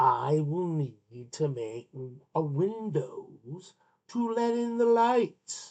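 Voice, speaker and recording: In a put-on character voice at a middle pitch, the speaker goes at a very slow pace. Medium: read story.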